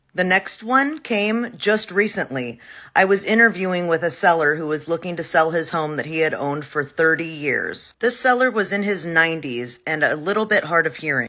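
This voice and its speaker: A woman with a bright, sharp tone and a fairly low pitch talks at a moderate pace with lively intonation and hardly any pauses, in a very clean recording with a silent background. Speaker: realtor. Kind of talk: casual talk to camera.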